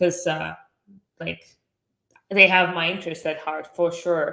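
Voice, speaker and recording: With a Russian accent, a woman talks at a fairly low pitch in a bright, sharp tone and a monotone, flat intonation. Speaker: entrepreneur. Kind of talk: podcast interview.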